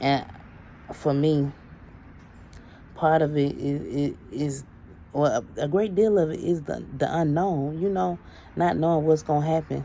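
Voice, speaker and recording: A woman speaks in a very deep, low pitch with a dark, mellow tone and ordinary pitch variation. Her pace is fairly slow, broken by long, frequent pauses. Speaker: inspirational vlogger. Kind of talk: reflective monologue. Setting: outdoors. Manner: halting.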